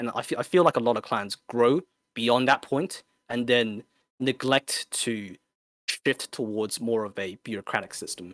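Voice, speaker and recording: With an Australian accent, a man talks at a moderate pace and medium pitch with ordinary pitch variation, recorded very cleanly against a silent background with a dry, close sound and no echo. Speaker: competitive gamer, clan leader. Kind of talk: podcast interview answer.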